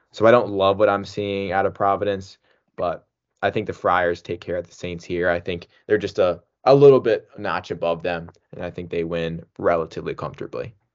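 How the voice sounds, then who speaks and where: With an ordinary speaking voice, a man talks at a fairly quick pace and a fairly low pitch, his intonation fairly even and his loudness swinging widely. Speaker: lacrosse picks podcast host. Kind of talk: casual sports analysis chat.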